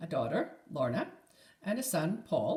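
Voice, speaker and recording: The woman's voice sits at a fairly low pitch. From Scotland, Edinburgh. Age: 60s. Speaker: crochet podcaster. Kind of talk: casual chat.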